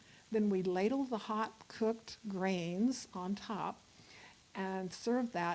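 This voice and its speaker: In an American accent, a woman speaks with a medium pitch, a dark, mellow tone and ordinary pitch variation. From Virginia. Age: 70s. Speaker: health educator. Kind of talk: talk to church audience.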